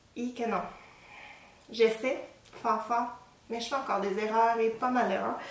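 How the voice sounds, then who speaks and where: A fairly high-pitched woman in a Quebec accent, with audible room echo and noticeable background noise. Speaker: knitting podcaster. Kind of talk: casual show-and-tell talk. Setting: at home. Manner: hesitant, many fillers.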